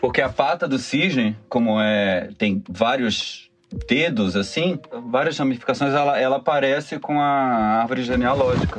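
A medium-pitched man at a fairly slow pace, with ordinary pitch variation, very even loudness and noticeable background noise. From Bahia, Brazil (Salvador). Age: 30s. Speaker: economist and etymology enthusiast. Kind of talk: casual interview.

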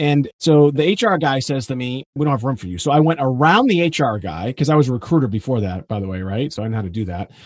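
Talking at a very fast pace with hardly any pauses, a man with an American accent uses a medium pitch and very wide pitch swings on a very clean recording with a silent background. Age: 40s. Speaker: entrepreneur, former attorney. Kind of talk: interview.

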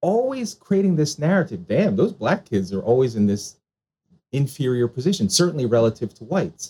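With an American accent, a man talks at a fairly quick pace in a dark, mellow, somewhat breathy voice with very wide pitch swings. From Jamaican parents, US. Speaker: charter school founder and author. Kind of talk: interview conversation.

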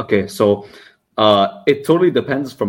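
Against a quiet background, a man speaks with an Arabic accent. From Syria. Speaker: psychology undergraduate student. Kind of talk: interview. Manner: hesitant, many fillers.

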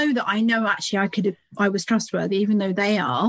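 A woman speaks with a southern England accent. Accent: British English, southern England. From England, between London and Cambridge. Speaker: parenting author. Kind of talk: interview conversation.

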